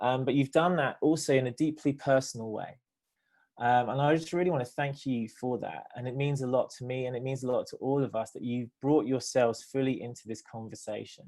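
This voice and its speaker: A man with a British accent holds a medium pitch and fairly even intonation. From Britain. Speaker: theologian and nonprofit director. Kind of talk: panel discussion. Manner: halting, many fillers.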